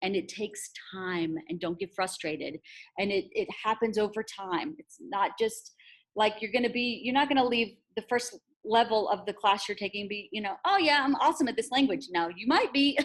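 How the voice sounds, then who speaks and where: A woman with a fairly high pitch, lively intonation, a moderate pace and an unremarkable speaking voice. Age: 40s. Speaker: language teacher. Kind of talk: conference presentation. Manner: casual, encouraging.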